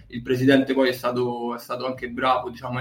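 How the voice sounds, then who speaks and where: Medium-pitched male speech with a noticeable hum of background noise. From Bracciano, near Rome, Italy. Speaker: basketball team manager. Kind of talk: interview.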